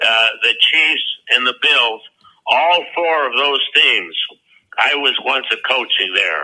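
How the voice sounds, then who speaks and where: A man at a very slow pace, with very even loudness. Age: 80s+. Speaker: retired football head coach. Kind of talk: interview answer.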